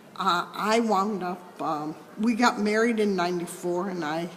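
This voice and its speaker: Amid noticeable background noise and audible room echo, a woman speaks in an American accent with fairly even intonation. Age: 80s+. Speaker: mediator. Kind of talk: interview. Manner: halting.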